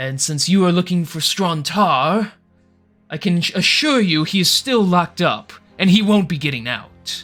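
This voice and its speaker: A man's put-on character voice, high-pitched, at a moderate pace, with faint music in the background. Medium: actual play. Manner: gruff, authoritative.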